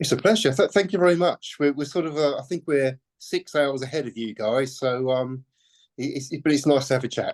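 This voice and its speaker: A man with a British accent, fairly high pitch and ordinary pitch variation, at a fairly quick pace in a dry, close sound with no echo. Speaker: musician, songwriter and guitarist. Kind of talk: interview. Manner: halting, many fillers and repetitions.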